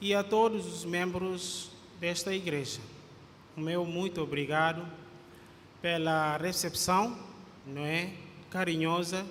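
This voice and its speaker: A man's voice, high for a male, at a very slow pace with fairly even intonation, long, frequent pauses and audible room echo. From Guinea-Bissau. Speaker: pastor. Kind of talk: sermon. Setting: church. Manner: halting, frequent fillers.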